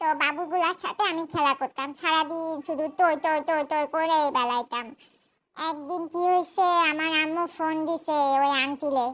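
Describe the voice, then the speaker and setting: A woman does a cartoonish character voice at an extremely high pitch and a moderate pace. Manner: chatty, cute.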